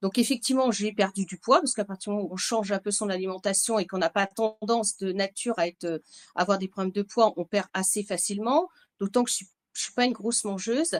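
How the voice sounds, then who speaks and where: Very fast speech comes from a woman at a medium pitch. Her pitch variation is ordinary. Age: 60s. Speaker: bodybuilding client, manager. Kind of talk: interview testimony.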